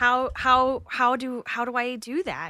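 In an American accent, a woman speaks at a high pitch with a raised, projected voice. Her tone is bright and sharp. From US South, Atlanta. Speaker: comedian and podcast host. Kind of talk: casual chat.

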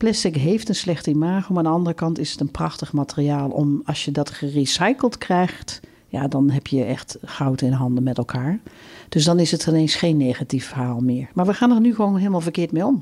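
A woman's very deep, low voice moves along at a fairly quick pace. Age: 50s. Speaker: campus circularity director. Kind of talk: interview.

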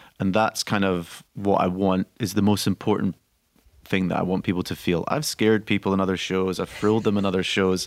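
A man with a Scottish accent speaks in a very deep, low voice with monotone, flat intonation. The sound is dry and close with no echo, in a very clean recording with a silent background. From Scotland. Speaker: actor-director, theatre founder. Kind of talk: radio interview. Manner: halting.

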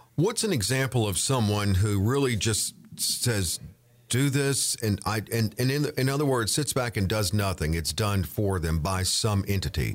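A man with a plain, everyday voice speaks at a moderate pace and fairly low pitch, with lively intonation and very even loudness. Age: 50s. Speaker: podcast co-host. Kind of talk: casual chat.

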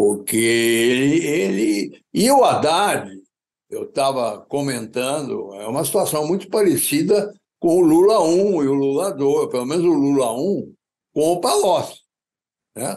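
A man with a fairly high pitch, very wide pitch swings and a fairly slow pace. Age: 80s+. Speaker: economist. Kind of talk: interview.

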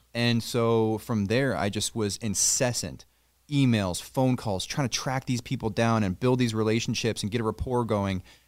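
A man at a moderate pace and medium pitch, fairly even intonation, an ordinary speaking voice, on a very clean recording with a silent background. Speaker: auto detailing shop owner. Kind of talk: casual interview. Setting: in his garage shop.

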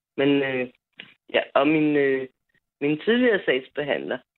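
Her pitch is very deep and low for a woman. She speaks with very wide pitch swings. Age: 40s. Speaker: caller. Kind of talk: phone-in call.

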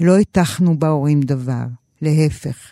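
A woman's very deep, low voice with a dark, mellow tone, ordinary pitch variation and a very slow pace, in a very clean recording with a silent background. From Israel, kibbutz in western Galilee. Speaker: novelist. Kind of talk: reading aloud from her novel.

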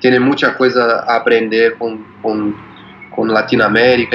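A medium-pitched man in a Portuguese accent with a monotone, flat intonation, against noticeable background noise. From Brazil, São Paulo. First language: Portuguese (speaking Spanish). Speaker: musician. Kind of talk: interview. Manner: halting.

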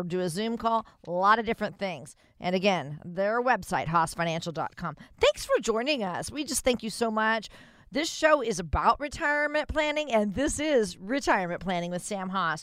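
There is a woman speaking at a moderate pace. Her fairly high pitch moves in very wide swings. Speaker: radio co-host. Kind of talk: radio show. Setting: studio. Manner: upbeat.

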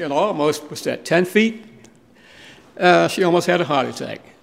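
Speaking at a moderate pace with an American accent, a man shows vocal fry and ordinary pitch variation. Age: 70s. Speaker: museum co-founder. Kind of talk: interview.

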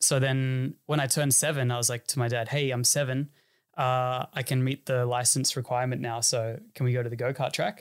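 A man talks in an Australian accent at medium pitch with monotone, flat intonation. The recording is very clean, with a silent background. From Sydney northern beaches, Australia. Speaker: racing driver. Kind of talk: casual interview chat.

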